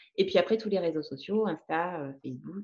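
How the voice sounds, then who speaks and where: Her pitch shifts in an ordinary way. The speaker is a woman. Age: 40s. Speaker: ceramic artist. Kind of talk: interview.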